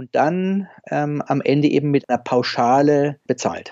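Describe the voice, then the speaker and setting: A man talks at a fairly slow pace in an ordinary speaking voice. His pitch is fairly high, with ordinary variation. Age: 50s. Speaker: anesthesiologist, senior hospital doctor. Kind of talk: interview.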